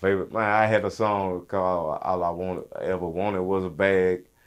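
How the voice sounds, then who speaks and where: A man with a Louisiana accent speaks in a very deep, low voice. His intonation is monotone and flat, at a moderate pace. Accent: Southern US, Louisiana. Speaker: rapper. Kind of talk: interview. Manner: casual, loose.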